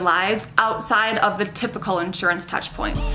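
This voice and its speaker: A woman with a Minnesotan accent speaks at a moderate pace against noticeable background noise. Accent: Minnesota. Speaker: insurance professional. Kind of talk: scripted commentary to camera.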